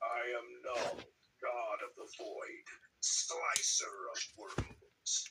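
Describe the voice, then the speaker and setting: A man puts on a character voice at an extremely high pitch. He speaks at a very slow pace. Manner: menacing, declarative.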